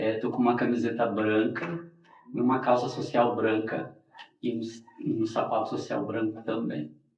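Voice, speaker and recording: Amid audible room echo, a man with a medium pitch speaks at a fairly slow pace. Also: ordinary pitch variation. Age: 40s. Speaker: capoeira master. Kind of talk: interview. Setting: studio.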